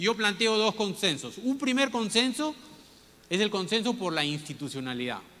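A raised, projected voice with a bright, sharp tone moves at a moderate pace through very wide pitch swings. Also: man. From Peru (Piura, Callao). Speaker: business leader and former minister giving a talk. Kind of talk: lecture. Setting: stage with audience. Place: stage. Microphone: handheld.

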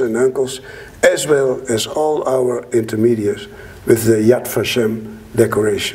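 A man speaks at a medium pitch. He has a Dutch accent. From Netherlands. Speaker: Holocaust survivor. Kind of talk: public talk to an audience. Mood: earnest, reflective. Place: hall. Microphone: lapel.

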